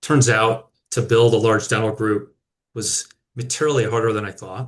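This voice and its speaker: A man with an American accent speaks in a monotone, flat intonation. His voice is somewhat breathy against a quiet background. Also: medium pitch for a man, moderate pace. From rural Minnesota, US. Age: 40s. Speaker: company founder and CEO. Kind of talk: personal business story in webinar. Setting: video webinar.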